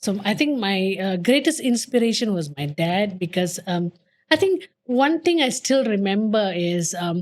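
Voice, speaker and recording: At a fairly slow pace, a woman talks at a medium pitch with very wide pitch swings. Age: 50s. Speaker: podcast guest. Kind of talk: casual chat.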